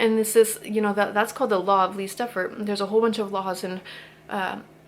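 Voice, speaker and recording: A woman's medium-pitched voice at a very fast pace. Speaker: YouTuber sharing spiritual thoughts. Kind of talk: casual talk to camera. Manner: animated.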